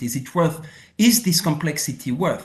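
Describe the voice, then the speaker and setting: Lively intonation marks a man's speech, pitched high. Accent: French. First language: French. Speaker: former international tax policy official and professor. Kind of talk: casual interview.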